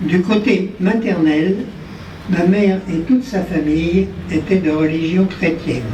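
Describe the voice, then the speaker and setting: Speaking at a very slow pace, a man with a high pitch and ordinary pitch variation is heard amid audible room echo and noticeable background noise. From France, Paris and Auvergne. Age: 90s. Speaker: war veteran. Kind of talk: ceremony speech. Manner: formal.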